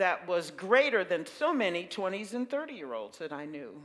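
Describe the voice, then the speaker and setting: A normal speaking voice in an American accent at a moderate pace. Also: woman. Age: 60s. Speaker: minister. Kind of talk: sermon.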